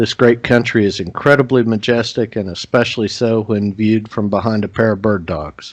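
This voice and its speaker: A man with a normal speaking voice, medium in pitch, fairly quick in pace, and fairly even in intonation. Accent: American. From Oklahoma. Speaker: podcast host. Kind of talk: scripted intro and sponsor read; podcast interview.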